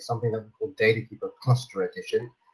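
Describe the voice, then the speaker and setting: Somewhat breathy male speech in a British accent. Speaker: sales director at a software company presenting. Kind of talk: webinar product presentation. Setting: online webinar with screen sharing. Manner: frequent fillers (um, uh) and repetitions.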